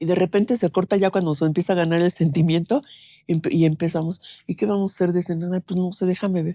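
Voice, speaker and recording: Very fast, a woman talks in a dark, mellow, fairly low voice with ordinary pitch variation. The sound is dry and close with no echo, on a very clean recording with a silent background. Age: 70s. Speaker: bereaved mother. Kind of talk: interview testimony. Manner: conversational, many fillers.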